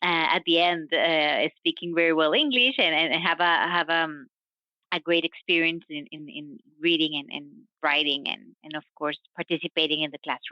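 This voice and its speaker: This speaker has a non-native accent and talks at a moderate pace with fairly even intonation. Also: woman, fairly low pitch for a woman. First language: not English, English is third or later. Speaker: science diplomacy professional. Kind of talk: interview. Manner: halting, with fillers and repetitions.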